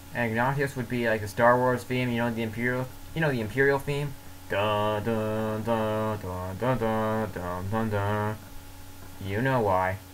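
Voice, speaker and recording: A man speaks fairly slowly at medium pitch with fairly even intonation. Noticeable background noise and audible room echo fill the recording. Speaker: comedy sketch host. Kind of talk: comedic monologue.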